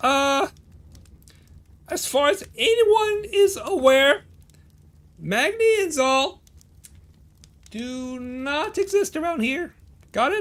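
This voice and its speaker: A high-pitched, put-on character voice delivers the lines. The pace is very slow, with long, frequent pauses. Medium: actual play. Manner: hesitant, filler-heavy.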